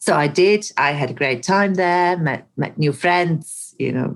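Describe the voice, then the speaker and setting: A fairly slow delivery in a Bosnian accent, with ordinary pitch variation. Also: woman. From Bosnia and Herzegovina, Mostar. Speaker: actress and coach. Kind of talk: podcast interview. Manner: animated.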